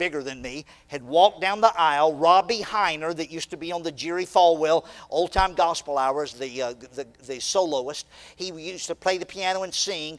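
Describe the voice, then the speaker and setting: Ordinary pitch variation and a moderate pace mark this clip of a normal speaking voice. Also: man. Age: 60s. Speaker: preacher. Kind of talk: sermon. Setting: church.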